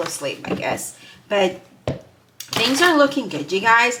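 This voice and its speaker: A woman's fairly slow speech with very wide pitch swings, over noticeable background noise. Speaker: tarot reader. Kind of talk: tarot reading video. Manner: halting, stumbling over words.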